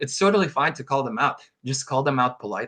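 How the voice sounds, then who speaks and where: A man's bright, sharp tone with a non-native accent. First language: not English. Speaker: competitive card game player. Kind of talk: podcast interview. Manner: halting, many fillers.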